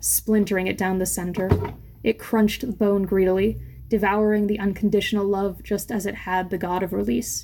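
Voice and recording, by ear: Natural-voiced reading aloud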